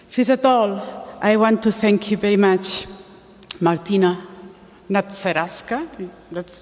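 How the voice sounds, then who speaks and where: The speaker talks at a very slow pace with a Spanish accent. Noticeable background noise sits behind the voice. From Spain. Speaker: animal welfare campaigner. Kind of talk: conference talk. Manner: halting.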